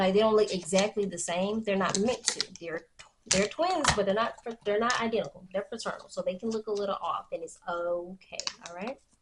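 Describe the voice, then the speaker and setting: A woman talks at a fairly quick pace in a medium pitch. Her pitch varies in an ordinary way. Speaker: beauty vlogger. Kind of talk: tutorial. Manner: halting; casual.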